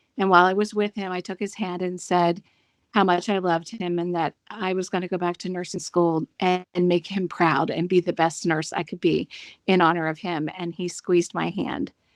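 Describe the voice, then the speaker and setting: A woman with an American accent has an unremarkable speaking voice, fairly low in pitch with fairly even intonation. She talks at a moderate pace in a dry, close sound with no echo. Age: 60s. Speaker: nurse. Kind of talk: personal testimony interview.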